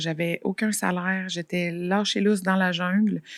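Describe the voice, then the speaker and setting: A woman with a Quebec accent speaks at a medium pitch in a flat monotone, her voice dry and close with no echo on a very clean recording with a silent background. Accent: Québécois French. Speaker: financial advisor and entrepreneur. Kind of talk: casual interview. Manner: fast.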